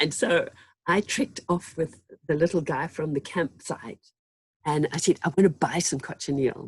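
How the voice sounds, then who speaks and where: A woman's somewhat breathy voice, moderately paced, with ordinary variation in pitch. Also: fairly low pitch for a woman. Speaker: textile artist. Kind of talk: interview.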